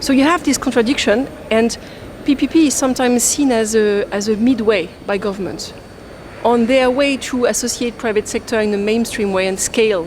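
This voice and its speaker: A woman with a French accent, fairly high pitch, ordinary pitch variation and a fairly quick pace, over noticeable background noise. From France. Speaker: development finance expert. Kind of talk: fireside chat panel discussion.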